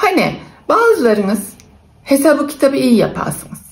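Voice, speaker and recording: With an Aegean accent, a woman speaks at a moderate pace. Her tone is dark and mellow, and her intonation is lively. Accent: Aegean Turkish dialect (Buldan, Denizli). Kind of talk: casual talk to camera.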